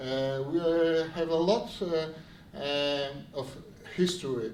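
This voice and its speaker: With a Polish accent, a man talks at a very slow pace in a fairly high voice with ordinary pitch variation, amid noticeable background noise and audible room echo. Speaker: city official. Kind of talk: event speech. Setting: stage with audience. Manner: halting.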